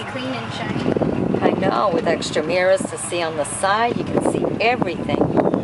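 Someone speaks at a fairly slow pace against loud background noise. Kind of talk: casual vlog commentary. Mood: admiring, pleased. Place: street. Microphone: phone near.

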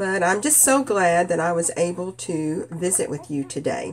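Lively in intonation and nasal, a woman with a fairly low pitch talks at a moderate pace.

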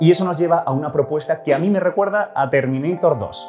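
Clear music plays behind a man speaking at a moderate pace. His pitch varies in an ordinary way. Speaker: presenter. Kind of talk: science explainer. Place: hall. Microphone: lapel.

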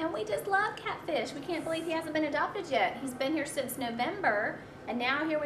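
A woman with an American accent speaks at a fairly quick pace in a warm, upbeat tone. Noticeable background noise sits behind her. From US South. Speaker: volunteer adoption show host. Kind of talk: pitchman-style adoption pitch, coaxing viewers to adopt the animal on screen. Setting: animal shelter, filmed on location. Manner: warm, gushing, upbeat and animated; sales-like, repeatedly urging viewers to come down and adopt. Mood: warm, enthusiastic. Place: studio.

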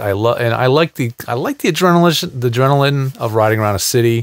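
A man at a fairly quick pace with ordinary pitch variation, dry sound with no echo and a quiet background. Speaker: show host. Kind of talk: casual show chat narrating footage. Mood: cheerful, laughing. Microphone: headset.

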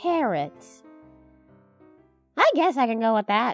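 A cartoonish character voice, female-sounding and fairly high, with very wide pitch swings, a fairly slow pace and faint music in the background. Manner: formal, stiff, matter-of-fact.

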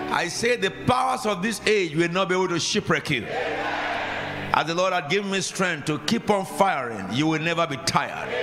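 Over noticeable background noise, a man with a Nigerian accent talks at a moderate pace with hardly any pauses, using a high pitch, an animated tone and lively intonation. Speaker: preacher. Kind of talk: sermon. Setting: church. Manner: animated, commanding, call-and-response with the congregation. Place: church. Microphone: handheld.

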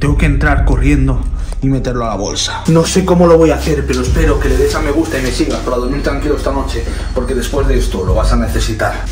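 A man talks at a fairly quick pace with clear music playing behind him. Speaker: content creator. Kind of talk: dramatic vlog narration. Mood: tense, mock-scared excitement. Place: home room. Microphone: phone near.

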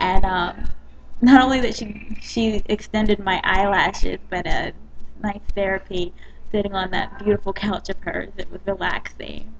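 A woman with an American accent speaks at a moderate pace, her loudness swinging widely, over light background noise. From US South, South Carolina. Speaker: dance company owner. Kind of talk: personal video blog. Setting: webcam in a coffee shop. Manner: casual, hesitant. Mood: warm, grateful. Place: cafe. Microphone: webcam.

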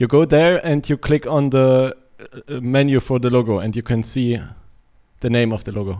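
In a German accent, the speaker talks at a moderate pace with a dark, mellow tone and ordinary pitch variation against a quiet background. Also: man. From Germany. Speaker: gaming streamer; game streamer. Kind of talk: casual gameplay chat. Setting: online voice chat. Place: home room. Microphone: studio mic.

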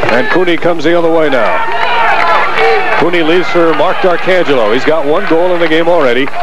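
Noticeable background noise behind a high-pitched man with ordinary pitch variation, very even loudness and hardly any pauses. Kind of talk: live play-by-play lacrosse commentary, rapid-fire narration of passes, shots and saves. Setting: stadium broadcast booth, championship game with crowd, windy.

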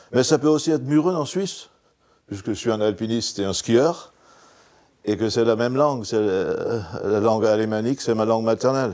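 A man with an Alsatian accent, lively intonation and a moderate pace, against a quiet background. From Alsace, France. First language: Alsatian (speaking French). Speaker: writer and former pastor; former pastor. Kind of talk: interview monologue. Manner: hesitant with fillers. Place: studio.

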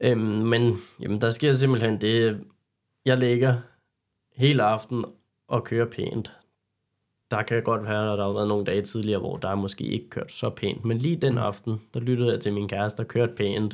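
Pausing long and often, a man speaks at a moderate pace with a medium pitch and fairly even intonation on a very clean recording with a silent background. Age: 20s. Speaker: carpentry apprentice, car enthusiast. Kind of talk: interview.

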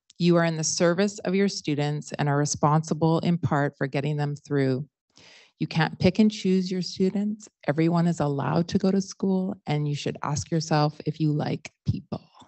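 A woman with a fairly low pitch speaks at a moderate pace, her pitch varying in an ordinary way. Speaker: high school teacher and artist. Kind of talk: panel discussion. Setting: stage with audience. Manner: halting.

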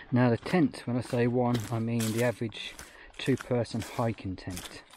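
A man's dark, mellow voice at a moderate pace, with a dry sound and no echo. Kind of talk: casual vlog commentary. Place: forest. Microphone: phone near.

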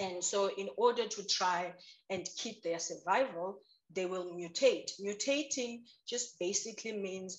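A woman speaks at a fairly slow pace, her intonation fairly even. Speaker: guest. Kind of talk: interview answer. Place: home room. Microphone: video call.

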